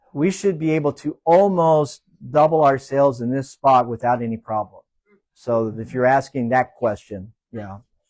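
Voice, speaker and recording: A man with a plain, everyday voice talks at a moderate pace and medium pitch, with ordinary pitch variation, in a dry, close sound with no echo. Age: 60s. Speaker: small business owner. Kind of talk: panel interview.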